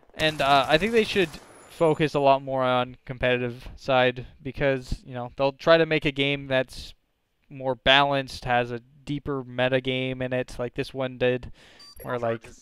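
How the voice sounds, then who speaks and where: Intonation stays fairly even as a man talks at a moderate pace. He has a plain, everyday voice pitched in the medium range. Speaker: gaming commentator. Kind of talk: gameplay commentary.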